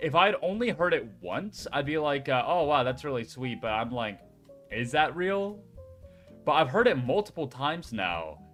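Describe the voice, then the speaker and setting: With music in the background, a man talks at a moderate pace in a fairly high voice whose pitch swings very widely. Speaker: former food service worker.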